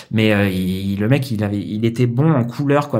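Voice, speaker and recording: In a normal speaking voice, a man talks with a medium pitch and ordinary pitch variation. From Paris suburbs, France. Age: 40s. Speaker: concept artist. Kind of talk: casual interview.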